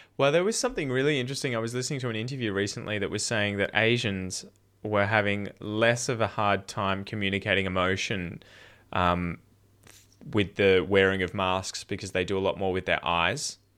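A man with an Australian accent talks at a fairly quick pace in a fairly low pitch. His tone is bright and sharp, with ordinary pitch variation. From Australia, Victoria (Dandenong Ranges near Melbourne). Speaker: podcast host and English teacher. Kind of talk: casual chat. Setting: video call.

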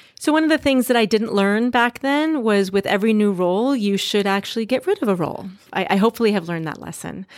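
A woman with an American accent talks very fast, hardly pausing at all. Her fairly high voice has lively intonation. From US Midwest, Duluth, Minnesota. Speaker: doctor. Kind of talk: interview.

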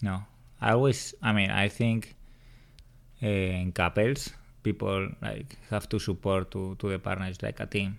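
A man's fairly low voice with a strong Spanish accent, fairly slow and fairly even in intonation, with long, frequent pauses, on a very clean recording with a silent background. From Spain (Madrid). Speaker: host's partner. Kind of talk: casual chat. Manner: shy.

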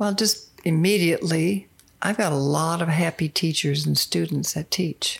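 A woman's fairly low voice with vocal fry, at a moderate pace, with fairly even intonation and very even loudness. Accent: American. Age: 70s. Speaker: retired English teacher. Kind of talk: casual chat.

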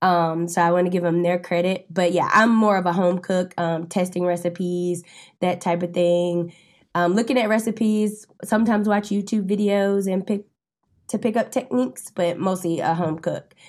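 A plain, everyday voice with an American accent speaks at a moderate pace with fairly even intonation, on a very clean recording with a silent background. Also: woman, medium pitch for a woman. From North Carolina, Winston-Salem. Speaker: food writer and home cook. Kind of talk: casual interview.

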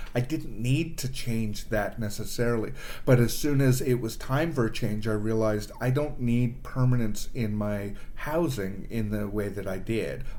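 With a Canadian accent, a man speaks at a moderate pace with ordinary pitch variation, and audible room echo surrounds his voice. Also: medium pitch for a man. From Canada, Toronto. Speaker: improv performer and producer. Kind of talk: casual chat.

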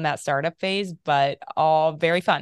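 Against a quiet background, a woman with an American accent speaks in a very deep, low pitch. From US Midwest, small-town Ohio north of Dayton. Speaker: epigenetics researcher and company founder. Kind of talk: interview.

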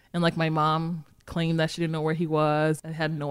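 In a very clean recording with a silent background, a woman speaks with an American accent. Her pitch is very deep and low, and she talks very fast. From Massachusetts, Boston area. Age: 30s. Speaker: running crew founder. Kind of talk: casual interview.

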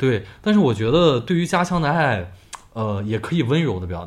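A man at a fairly quick pace amid audible room echo. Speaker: podcast co-host. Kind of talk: casual chat. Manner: loud.

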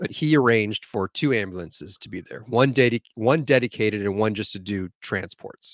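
A man with an American accent talks at a fairly quick pace, with ordinary pitch variation and big swings in loudness. The sound is dry and close with no echo. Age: 40s. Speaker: medic. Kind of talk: casual chat.

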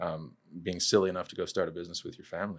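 Very fast speech from a man with an American accent fills a very clean recording against a silent background. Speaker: sales director and business co-founder. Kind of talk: interview.

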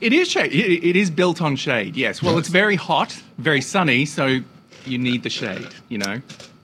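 Noticeable background noise sits behind a man with an Australian accent who speaks at a moderate pace, with fairly high pitch and lively intonation. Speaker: guest co-host. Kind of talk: casual comedic chat.

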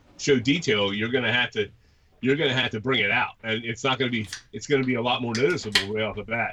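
Over noticeable background noise, a man speaks at a very fast pace in a medium pitch with ordinary pitch variation. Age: 50s. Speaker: podcast co-host, model railroader. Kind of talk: casual interview chat.

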